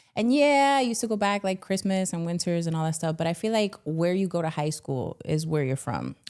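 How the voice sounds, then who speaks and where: Speech in a Miami accent comes with lively intonation and hardly any pauses. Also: woman, fairly low pitch for a woman, fairly quick pace. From Miami, Florida. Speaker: stand-up comedian and actress. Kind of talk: casual chat.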